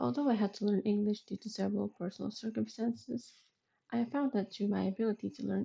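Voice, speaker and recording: A woman talks in a somewhat breathy voice. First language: Spanish. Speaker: vtuber. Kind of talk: casual vlog monologue.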